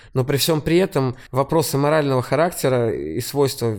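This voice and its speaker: Speaking in a plain, everyday voice, a man holds a moderate pace at a medium pitch with ordinary pitch variation. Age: 30s. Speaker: singer-songwriter and music producer. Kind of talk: casual chat.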